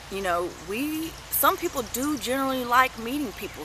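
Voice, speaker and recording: A woman's high voice with very wide pitch swings, over noticeable background noise. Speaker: vlogger and retail customer service worker. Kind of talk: casual monologue vlog. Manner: hesitant, many fillers.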